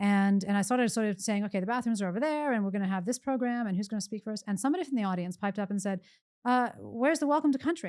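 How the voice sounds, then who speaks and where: A woman with an American accent talks at a very fast pace with ordinary pitch variation, on a very clean recording with a silent background. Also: medium pitch for a woman. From US, Pennsylvania. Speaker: economist, professor. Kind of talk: podcast interview.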